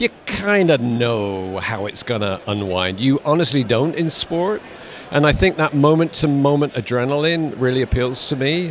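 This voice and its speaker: A man with a British accent, fairly high pitch and lively intonation, at a moderate pace, with noticeable background noise. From United Kingdom. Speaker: actor. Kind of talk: interview answer.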